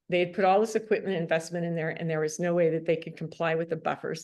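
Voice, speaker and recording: A woman talks at a fairly low pitch with fairly even intonation. The background is quiet. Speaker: hemp industry advocate on task force. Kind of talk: public meeting discussion. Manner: fast; halting with many fillers.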